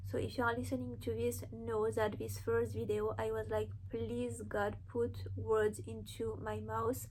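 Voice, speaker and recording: A woman with a non-native accent speaks in a very deep, low, somewhat breathy voice with monotone, flat intonation. Her pace is fairly slow with hardly any pauses, and audible room echo surrounds her. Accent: foreign accent, noticeable. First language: not English. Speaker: spiritual content creator. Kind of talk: inspirational monologue to camera. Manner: earnest, conversational.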